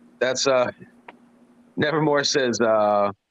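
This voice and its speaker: With a medium pitch, this man lets his pitch vary in an ordinary way. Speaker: show host reading viewer comments; works on radio. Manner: casual, off-mic everyday speech rather than radio voice.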